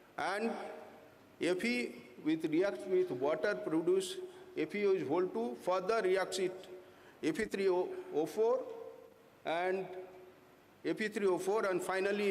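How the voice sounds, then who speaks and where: With audible room echo, a man speaks at a fairly slow pace in a high voice, leaving long, frequent pauses. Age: 60s. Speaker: corrosion engineer presenting at a conference. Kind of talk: technical conference presentation. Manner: halting, many fillers.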